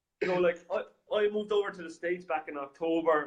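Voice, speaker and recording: This man speaks with an Irish accent. His pace is very fast and his intonation fairly even. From Ireland. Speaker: software company representative. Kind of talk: business talk show chat. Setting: studio. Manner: halting, many fillers.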